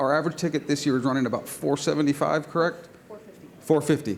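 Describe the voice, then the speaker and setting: Here a man speaks at a fairly quick pace. His intonation stays fairly even. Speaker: small business co-owner pitching at competition. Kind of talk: business pitch Q&A. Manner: loud.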